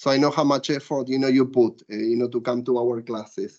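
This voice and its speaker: A man with an Argentinian accent, fairly quick and fairly even in intonation, against a quiet background. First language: Spanish. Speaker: law professor. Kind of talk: casual chat; lecture. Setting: stage with audience. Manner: hesitant with filler words. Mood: warm, grateful. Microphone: video call.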